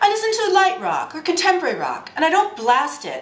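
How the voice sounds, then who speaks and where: A woman speaks in a room with audible echo. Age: 60s. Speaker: travel agent. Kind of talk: casual chat.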